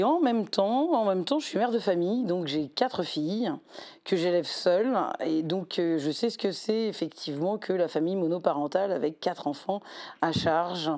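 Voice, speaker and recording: The woman here has a dark, mellow tone. Her intonation is lively. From southern France, Montpellier. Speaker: election candidate and law lecturer. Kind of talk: interview. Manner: hesitant, many fillers.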